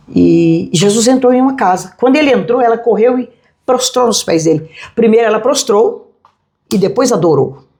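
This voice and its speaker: Her voice fairly high in pitch, a woman speaks at a moderate pace with a dark, mellow tone, vocal fry, lively intonation and very even loudness. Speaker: pastor. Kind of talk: interview. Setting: restaurant.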